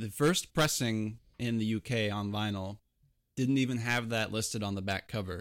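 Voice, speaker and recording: Here a man has an ordinary speaking voice, fairly low in pitch, with ordinary pitch variation and a moderate pace. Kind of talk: casual chat. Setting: video call.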